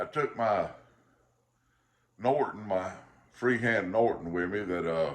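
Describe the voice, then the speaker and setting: Someone with a Southern US accent talks at a fairly slow pace, leaving long, frequent pauses. Their pitch varies in an ordinary way, and the room echo is audible. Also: man, fairly low pitch for a man. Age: 50s. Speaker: pipe smoking vlogger. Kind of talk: casual chat. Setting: at home. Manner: halting.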